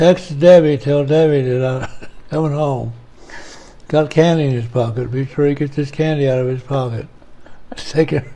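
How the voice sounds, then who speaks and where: Marked by long, frequent pauses, a man speaks at a fairly high pitch with fairly even intonation and a somewhat breathy sound. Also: moderate pace. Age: 80s+. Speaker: elderly father being interviewed. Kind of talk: casual family chat. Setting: at home.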